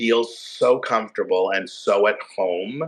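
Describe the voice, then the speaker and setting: This man has an American accent. His pitch sits in the medium range. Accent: Long Island accent, trained down. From Long Island, New York. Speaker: Broadway actor. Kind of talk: interview answer. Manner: casual, halting.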